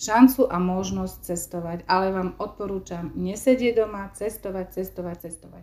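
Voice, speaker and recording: A woman speaks at a moderate pace with a medium pitch. Her tone is dark and mellow. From eastern Slovakia, Stará Ľubovňa district. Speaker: secondary school teacher. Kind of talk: interview.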